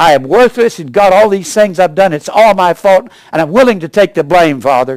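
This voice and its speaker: A man speaks at a fairly quick pace with a high pitch and lively intonation. The sound is dry and close, with no echo. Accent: American. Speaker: Bible preacher and teacher. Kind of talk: sermon delivered to a congregation.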